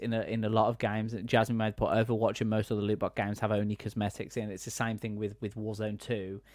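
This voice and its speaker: On a very clean recording with a silent background, a man speaks at medium pitch. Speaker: gaming editor and host. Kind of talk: casual chat.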